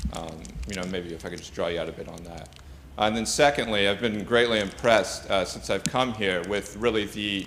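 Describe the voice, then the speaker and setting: Amid audible room echo, a man with an American accent talks at a fairly quick pace with ordinary pitch variation. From United States. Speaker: postgraduate student asking a question. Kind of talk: conference Q&A question. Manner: halting, many fillers.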